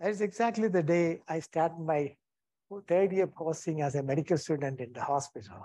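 Speaking with an Indian accent, a man has a fairly high, dark, mellow voice. He goes at a fairly quick pace with ordinary pitch variation. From India, Kerala. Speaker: retired anaesthetist. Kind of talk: lecture. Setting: stage with audience. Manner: halting.

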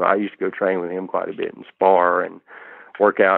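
Talking fairly quickly, a man speaks with a Southern US accent. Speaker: martial artist, kickboxer. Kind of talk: interview answer.

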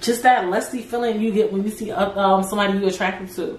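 A woman speaks at a medium pitch with an American accent. Noticeable background noise runs under her voice. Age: 20s. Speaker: podcast host. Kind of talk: casual solo talk. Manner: animated.

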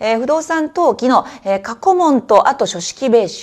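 A woman at a fairly quick pace with very wide pitch swings, over a quiet background. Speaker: exam prep instructor. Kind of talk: study advice talk. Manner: many filler words. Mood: earnest, mildly strict advice. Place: office.

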